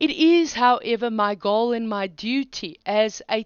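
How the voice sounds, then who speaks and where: Speaking in a non-native accent, a woman has a fairly high pitch and lively intonation. Her pace is very slow. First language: not English. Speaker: online philosophy teacher. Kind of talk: lecture.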